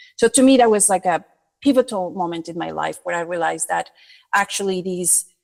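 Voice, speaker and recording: A woman with a non-native accent, medium pitch, ordinary pitch variation, big swings in loudness and a fairly quick pace. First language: not English. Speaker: creative director. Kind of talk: podcast interview.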